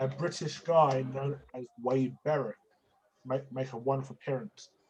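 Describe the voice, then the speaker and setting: A man with an English accent, medium pitch, fairly even intonation and moderate pace. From England. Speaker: wrestling predictions host. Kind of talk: casual chat.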